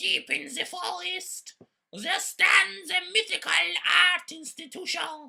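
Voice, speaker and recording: In a cartoonish character voice, a woman speaks at a fairly slow pace with an extremely high pitch. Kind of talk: mock-epic fairy-tale narration. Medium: puppet show. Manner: grandiose, dryly comic.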